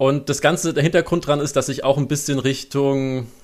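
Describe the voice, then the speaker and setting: On a very clean recording with a silent background, a man talks at a fairly quick pace in an ordinary speaking voice with a fairly high pitch. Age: 20s. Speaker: freelance copy editor. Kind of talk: interview.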